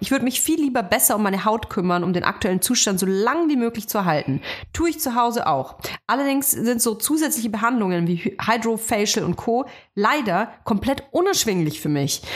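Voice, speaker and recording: Pitched fairly high, a woman's voice moves through very wide pitch swings. She speaks with a lot of melodic range. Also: very even loudness. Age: 30s. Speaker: podcast co-host. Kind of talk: casual chat.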